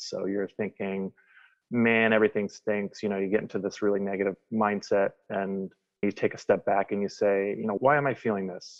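Monotone, flat delivery from a man with an American accent and a fairly low pitch. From Wisconsin. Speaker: guest sharing recovery story. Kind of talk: casual conversation.

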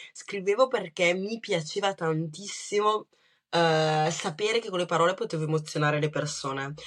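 A woman with a Lombard accent speaks with ordinary pitch variation. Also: fairly low pitch for a woman, moderate pace. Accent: Brescian. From Brescia, northern Italy. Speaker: writer. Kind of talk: interview.

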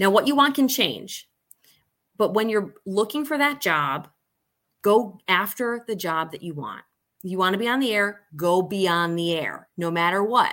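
Lively intonation carries a normal speaking voice at a fairly slow pace on a very clean recording with a silent background. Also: woman, medium pitch for a woman. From Syracuse area, upstate New York. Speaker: TV news director, former news anchor. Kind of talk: casual interview.

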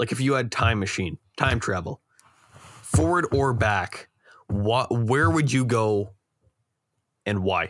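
The speech moves at a very slow pace, with long, frequent pauses. The intonation is lively. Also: man, medium pitch for a man. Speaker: podcast host. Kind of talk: casual chat.

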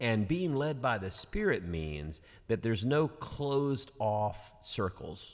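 Speaking very slowly with a Southern US accent, a man at medium pitch makes very wide pitch swings. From US South, Georgia. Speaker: pastor and podcast host. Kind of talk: casual chat about scripture. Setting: studio.

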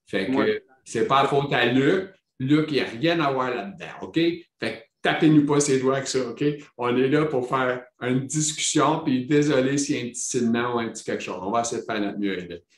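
A man with a Quebec accent talks at a moderate pace with ordinary pitch variation. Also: medium pitch for a man. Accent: Québécois French. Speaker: podcast host living with multiple sclerosis. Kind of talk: casual interview chat. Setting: video call.

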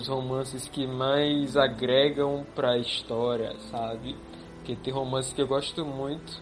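In a room with audible echo, a man speaks at a fairly slow pace and medium pitch with fairly even intonation. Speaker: illustrator and podcast co-host. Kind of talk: casual chat.

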